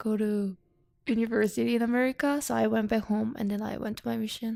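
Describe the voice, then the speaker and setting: A woman at a very fast pace with a Korean accent. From South Korea. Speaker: international student. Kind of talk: interview. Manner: halting.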